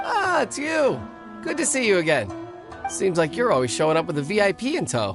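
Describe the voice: A man uses a put-on character voice, pitched high with very wide swings and a fairly bright tone. He talks at a fairly quick pace over faint background music.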